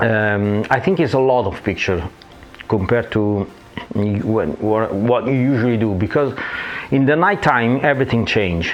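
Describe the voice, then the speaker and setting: A man with an Italian accent talks at a moderate pace, his medium pitch rising and falling in an ordinary way. Noticeable background noise runs beneath his voice. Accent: Italian accent, non-native English. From Italy. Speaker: photographer. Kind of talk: tutorial. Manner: hesitant, frequent fillers.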